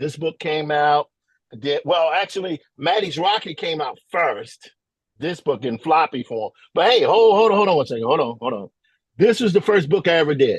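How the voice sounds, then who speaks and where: A man with a Mississippi accent speaks with lively intonation in a dry, close sound with no echo. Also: fairly high pitch for a man, moderate pace. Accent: Southern US (Mississippi). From US South, Mississippi. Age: 50s. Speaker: visual artist and comics illustrator. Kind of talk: workshop presentation. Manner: casual, with many filler words.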